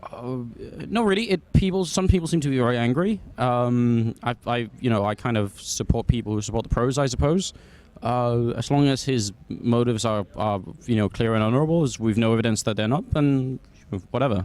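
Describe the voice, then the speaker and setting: Here a man with a British accent talks at a fairly quick pace with lively intonation. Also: medium pitch for a man. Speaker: esports caster. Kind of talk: casual interview. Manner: hesitant, many fillers.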